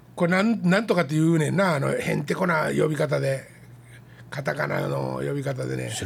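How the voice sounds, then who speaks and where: A man at a moderate pace with a Kansai accent, plus audible room echo. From Kansai, Japan. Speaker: podcast host. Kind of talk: casual chat.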